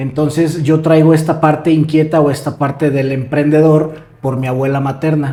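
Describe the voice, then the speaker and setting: A fairly high-pitched man's voice, somewhat breathy and dark, mellow in tone, flat and monotone at a moderate pace. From Mexico, Morelia. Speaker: podcast host. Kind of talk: interview.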